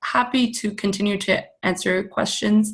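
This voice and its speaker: With a somewhat breathy voice, a woman talks at medium pitch and a moderate pace. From Canada. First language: Persian. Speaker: meditation teacher. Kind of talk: webinar presentation with Q&A. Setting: online webinar. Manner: casual, with many fillers.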